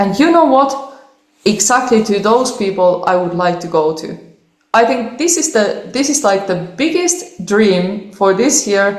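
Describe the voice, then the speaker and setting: Speaking at a fairly slow pace in a Finnish accent, a woman with a medium-pitched voice takes an animated tone amid audible room echo. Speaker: cellist. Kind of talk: interview.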